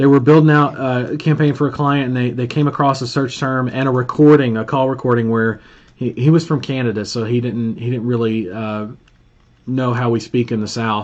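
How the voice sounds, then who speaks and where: Talking at a fairly quick pace, a man speaks with an Alabama accent. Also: medium pitch for a man. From Alabama, Birmingham. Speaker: pay per call marketing trainer. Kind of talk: live stream Q&A, casual coaching. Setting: live stream with Zoom call. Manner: animated, casual.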